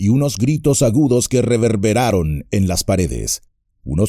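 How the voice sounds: A natural reading voice with lively intonation plays out over a quiet background.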